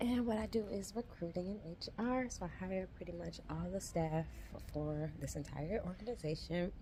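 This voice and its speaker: A woman talks at a moderate pace, and audible room echo follows her voice. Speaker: vlogger, HR recruiter. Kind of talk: casual vlog. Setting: office at work. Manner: talking low.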